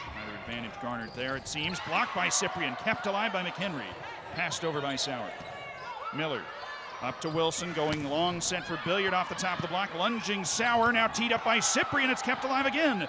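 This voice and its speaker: Over noticeable background noise, a man with a high pitch talks fairly quickly in an excited, energetic tone, his pitch swinging very widely. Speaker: sports play-by-play commentator. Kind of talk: live sports play-by-play.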